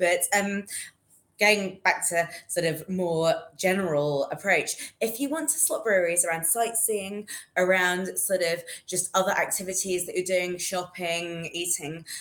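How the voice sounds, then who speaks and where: A woman speaks with a London accent at a fairly slow pace. Her pitch is medium, with ordinary pitch variation. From London, England. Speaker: beer writer. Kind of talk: casual interview.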